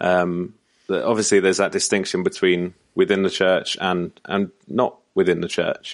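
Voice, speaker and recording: Against a quiet background, a man talks at a moderate pace with a British accent. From United Kingdom. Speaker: church communications consultant. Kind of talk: podcast interview.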